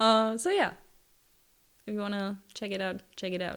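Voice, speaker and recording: A woman's fairly high voice with a non-native accent, fairly even intonation, and a very clean recording over a silent background. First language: not English. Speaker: lifestyle YouTuber. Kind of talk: casual vlog talk. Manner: hesitant, many fillers.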